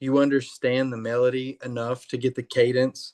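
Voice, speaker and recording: Dry and close with no echo, this recording of a man has a quiet background. He talks at a medium pitch with an American accent. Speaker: rock band singer and songwriter. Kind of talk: casual interview.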